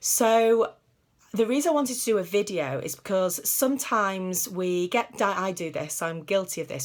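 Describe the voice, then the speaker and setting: A woman with a British accent, medium pitch and lively intonation, on a very clean recording with a silent background. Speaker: psychologist. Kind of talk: tutorial. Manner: hesitant, many fillers.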